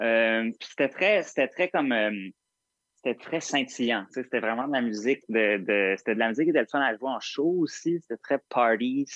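Big swings in loudness at a moderate pace, ordinary pitch variation, and a dry, close sound with no echo. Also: man, medium pitch for a man. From Montreal, Quebec. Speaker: singer-songwriter. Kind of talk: interview. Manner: halting, many repetitions.

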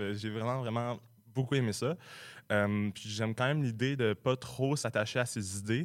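A man speaks in a normal speaking voice at medium pitch with ordinary pitch variation and a moderate pace, on a very clean recording with a silent background. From Quebec, Sherbrooke. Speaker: comedy writer, recent graduate. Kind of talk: radio interview. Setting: radio studio.

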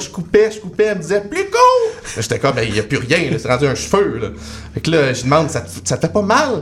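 A man talks fairly quickly while noticeable background noise runs underneath. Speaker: comedy writer. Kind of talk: casual chat.

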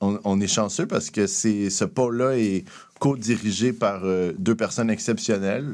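A man speaks in an ordinary speaking voice at a fairly low pitch and a fairly slow pace. His loudness stays very even, and the recording is very clean with a silent background. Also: ordinary pitch variation. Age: 30s. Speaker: entrepreneurship program director. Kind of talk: radio interview.

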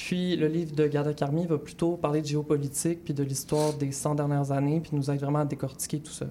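A woman's very deep, low-pitched voice, dark and mellow, with monotone, flat intonation at a fairly quick pace. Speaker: radio book columnist. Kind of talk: book review chronicle.

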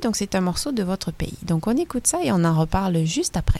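A woman of medium pitch speaks with very wide pitch swings. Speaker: radio host. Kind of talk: radio interview.

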